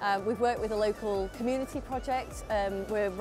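A woman talks at a fairly quick pace with fairly even intonation. Clear music plays behind her, and the sound is dry with no echo. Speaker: factory operations manager. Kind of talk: interview answer. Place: hall. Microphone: lapel.

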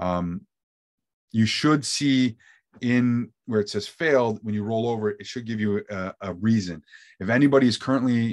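Against a quiet background, a man speaks. His pitch varies in an ordinary way. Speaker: real estate marketing trainer. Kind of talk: tutorial. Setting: video call. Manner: fast talker. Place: home room.

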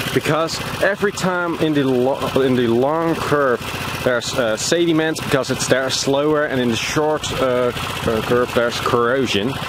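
A man talks at a fairly slow pace. There's noticeable background noise, and the sound is dry with no echo. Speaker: vlogger. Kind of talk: casual vlog chat. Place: waterside. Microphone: phone near.

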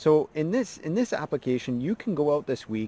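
A man speaks with a dark, mellow tone. The sound is dry with no echo. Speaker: mindset coach. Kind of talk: motivational talk to camera. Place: forest. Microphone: phone near.

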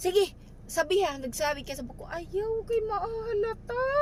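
A woman speaks at a moderate pace in an extremely high pitch, with very wide pitch swings and an animated tone. Noticeable background noise runs beneath her. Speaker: vlogger. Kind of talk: casual vlog chat. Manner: animated, laughing often.

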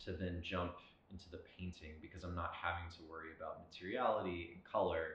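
Amid audible room echo, a man speaks with a very deep, low pitch and a somewhat breathy quality. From South Louisiana (Lafayette); Louisiana. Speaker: painter. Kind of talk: artist interview monologue; interview answer. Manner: reflective, with frequent filler words.

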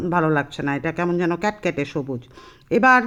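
A woman is speaking. The background is quiet. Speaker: vlogger. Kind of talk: vlog narration; casual family chat. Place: shop. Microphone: phone near.

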